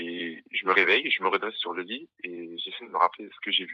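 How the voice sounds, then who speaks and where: The man's voice is very deep and low. He keeps a moderate pace. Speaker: caller telling a horror story. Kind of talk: testimony. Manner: halting.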